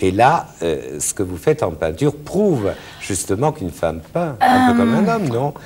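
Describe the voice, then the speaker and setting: The speaker moves at a moderate pace with very wide pitch swings. Noticeable background noise is present. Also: man, medium pitch for a man. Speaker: TV talk show host. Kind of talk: TV interview questions.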